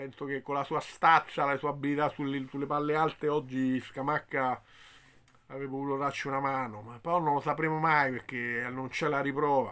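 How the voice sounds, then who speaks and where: The speech moves at a fairly quick pace in a bright, sharp tone, with monotone, flat intonation. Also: man, fairly high pitch for a man. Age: 50s. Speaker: football commentator. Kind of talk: video commentary. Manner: hesitant, with fillers. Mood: disappointed, resigned. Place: home room. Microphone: phone near.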